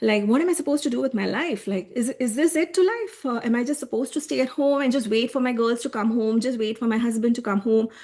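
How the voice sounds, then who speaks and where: A woman speaks very fast with an Indian accent. Her high voice has lively intonation. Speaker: human design coach. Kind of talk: online workshop presentation. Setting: live video call with screen share.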